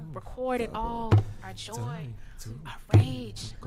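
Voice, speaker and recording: With music in the background, a woman with an American accent speaks in a very deep, low voice, her pitch swinging very widely. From US South. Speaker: spoken word poet. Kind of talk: spoken word performance. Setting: online concert stream. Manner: animated.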